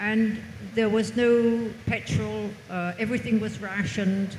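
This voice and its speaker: A woman with an English accent speaks at a fairly slow pace with lively intonation. Audible room echo and noticeable background noise are present. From England. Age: 80s+. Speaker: author. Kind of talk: panel interview. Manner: halting.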